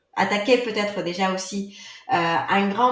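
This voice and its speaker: Audible room echo surrounds a woman speaking at a medium pitch and a moderate pace. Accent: non-native. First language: not French (speaking French). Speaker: yoga teacher and author. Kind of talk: podcast interview.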